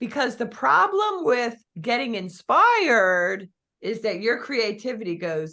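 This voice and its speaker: Talking fairly slowly in a Philadelphia accent, a woman uses a fairly high pitch with very wide swings and a bright, sharp, animated tone. The background is quiet. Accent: Philly. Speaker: real estate business coach. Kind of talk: coaching talk.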